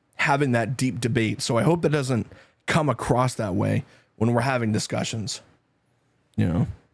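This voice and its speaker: With a slight Canadian accent and vocal fry, this speaker has an animated tone, a moderate pace, ordinary pitch variation, and long, frequent pauses. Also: man, medium pitch for a man. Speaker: twitch streamer. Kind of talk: casual chat.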